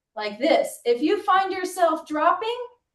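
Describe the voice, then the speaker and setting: The voice is loud and swings through very wide pitch changes. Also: woman. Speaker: physical therapist. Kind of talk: tutorial. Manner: loud and clear. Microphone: no microphone worn.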